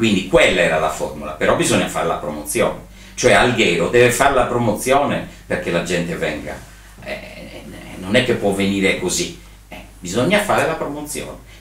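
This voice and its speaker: A man's pitch swings very widely while audible room echo fills the space. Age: 60s. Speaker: event and trade fair organizer; interviewee. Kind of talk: interview. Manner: hesitant, many fillers. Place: home room.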